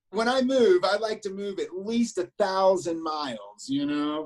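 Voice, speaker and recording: Against a silent background in a very clean recording, a man with an American accent speaks fairly slowly at a high pitch with lively intonation. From Alabama, US South (Auburn). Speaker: business manager. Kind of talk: casual interview chat.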